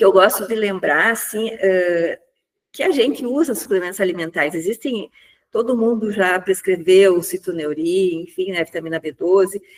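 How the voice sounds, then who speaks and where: This woman has an unremarkable speaking voice and lively intonation. She talks at a moderate pace. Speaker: pain physician. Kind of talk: lecture.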